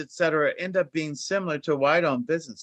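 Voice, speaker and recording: A man with a plain, everyday voice speaks at a fairly quick pace, his pitch fairly high. His intonation is lively, and the background is quiet. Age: 50s. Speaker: finance executive and former banker. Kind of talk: panel discussion.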